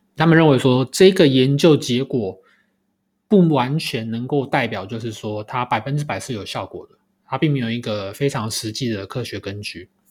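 On a very clean recording with a silent background, the voice moves at a moderate pace. Its intonation is lively, with big swings in loudness. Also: man, medium pitch for a man. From Taiwan. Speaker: podcast host. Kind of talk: solo podcast commentary. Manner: hesitant, many filler sounds.

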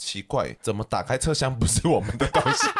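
A man talks fairly quickly at a medium pitch with lively intonation. Noticeable background noise runs underneath. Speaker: podcast host. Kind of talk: casual chat.

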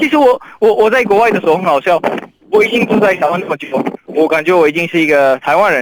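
A man's high-pitched, lively voice at a very fast pace. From Iraqi Kurdistan. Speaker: writer, interview guest. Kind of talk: interview. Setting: remote call. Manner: halting with many fillers.

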